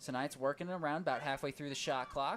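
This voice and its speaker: Against noticeable background noise, a man talks fairly quickly at a fairly high pitch with ordinary pitch variation. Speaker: sports commentator. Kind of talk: live commentary. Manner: fast.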